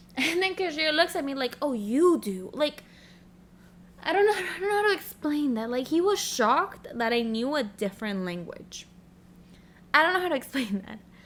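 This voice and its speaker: A woman with a slight Spanish accent speaks at a moderate pace and a high pitch, her voice making very wide pitch swings. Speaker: podcast host. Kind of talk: casual monologue.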